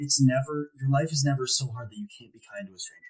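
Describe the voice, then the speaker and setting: A man talks at a fairly quick pace in a somewhat breathy voice of medium pitch. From Ohio, US Midwest. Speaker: motivational speaker. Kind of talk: podcast interview. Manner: animated.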